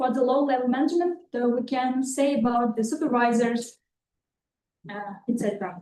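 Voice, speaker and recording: A woman with an Uzbek accent speaks at a moderate pace in a high voice with a dark, mellow tone and ordinary pitch variation. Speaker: master's applicant. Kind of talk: oral exam answer. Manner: halting.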